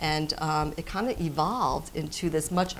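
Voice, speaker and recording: A woman speaks at a very deep, low pitch with fairly even intonation. Light background noise can be heard. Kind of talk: interview answer. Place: shop.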